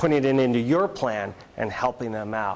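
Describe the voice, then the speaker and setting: The man's voice sits at a medium pitch with lively intonation. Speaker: school administrator giving a presentation. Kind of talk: presentation to educators. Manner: fast; casual, filler-heavy.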